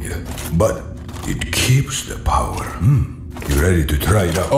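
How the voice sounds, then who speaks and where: A man in a put-on character voice, very deep and low, at a moderate pace over loud background noise. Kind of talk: mock-epic medieval speech. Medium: machinima. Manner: grandiose, enthusiastic.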